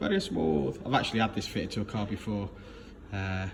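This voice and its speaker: A man with a British accent speaks at a fairly quick pace with lively intonation. Background noise is noticeable. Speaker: car tuner. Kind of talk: casual talk to camera.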